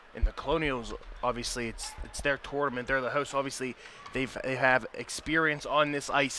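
A monotone voice with flat intonation amid noticeable background noise. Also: man. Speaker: color commentator. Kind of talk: live commentary. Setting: arena broadcast. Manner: uses many fillers.

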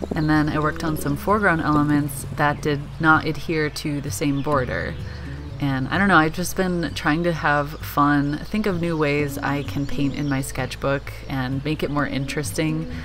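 Clear music plays in the background as the voice moves at a moderate pace. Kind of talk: reflective voice-over commentary.

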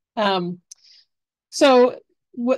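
The background stays quiet as a woman talks. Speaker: extension professor, horticulture and pest management; university extension educator. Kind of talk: webinar lecture. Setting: video call webinar. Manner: fast talker. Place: home room. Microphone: webcam.

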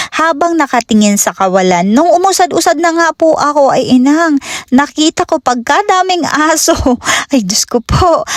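Speaking at a moderate pace, a woman uses a high pitch with very wide swings while her loudness stays very even. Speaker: vlogger. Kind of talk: vlog narration. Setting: outdoors.

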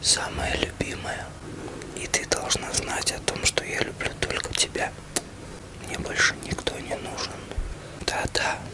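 Loud noise fills the background as a man talks at a very slow pace. He leaves long, frequent pauses. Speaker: ASMR channel host. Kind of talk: ASMR roleplay address to a loved one. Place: home room.

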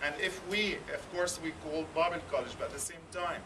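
Noticeable background noise sits under a man with a high pitch who talks at a fairly quick pace with ordinary pitch variation. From Jerusalem. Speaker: Bible college administrator. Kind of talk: welcoming talk to a visiting group. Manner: halting. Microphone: camera far.

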